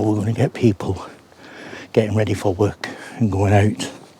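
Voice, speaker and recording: A soft-spoken man's fairly low voice at a fairly quick pace, monotone and flat in intonation. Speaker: paranormal investigator vlogger. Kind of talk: casual vlog monologue. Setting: outdoors, walking on moors at dawn.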